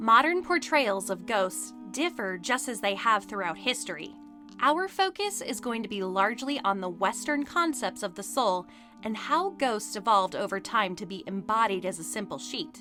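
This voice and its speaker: A woman with a fairly high voice speaks at a moderate pace with lively intonation while music plays in the background. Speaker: voiceover narrator. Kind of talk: documentary narration.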